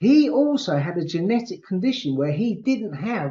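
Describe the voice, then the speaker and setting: His pace is moderate. The man's intonation stays lively. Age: 60s. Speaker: back pain practitioner. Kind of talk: interview. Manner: halting.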